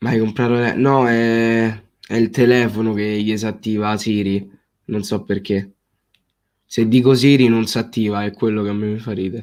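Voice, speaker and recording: A man in monotone, flat intonation with long, frequent pauses, on a very clean recording with a silent background. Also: medium pitch for a man, moderate pace. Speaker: football streamer. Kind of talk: live stream chat reading comments. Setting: live stream.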